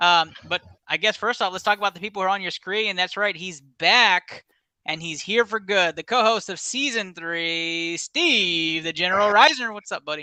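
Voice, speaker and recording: In an American accent, a man raises and projects a high, bright, sharp voice with big swings in loudness, recorded dry and close with no echo against a quiet background. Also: ordinary pitch variation, moderate pace. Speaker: sports podcast host. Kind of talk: casual sports podcast chat. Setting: studio. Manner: animated.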